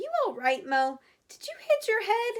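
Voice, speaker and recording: A woman uses a put-on, squeaky character voice at an extremely high pitch, with very wide pitch swings and big swings in loudness at a moderate pace. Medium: read story. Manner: prim, proper.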